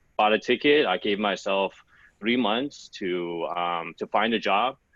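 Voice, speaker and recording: With an American accent, a man speaks at a fairly slow pace in a very deep, low pitch. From Los Angeles, California, US. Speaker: sourcing consultant. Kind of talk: podcast interview. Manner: casual, many fillers.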